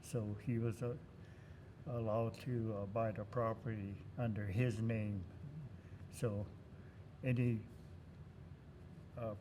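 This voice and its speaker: Through audible room echo, a man speaks at a very slow pace, somewhat breathy and monotone, with long, frequent pauses. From US West Coast, California. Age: 90s. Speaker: war veteran. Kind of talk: interview. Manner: halting.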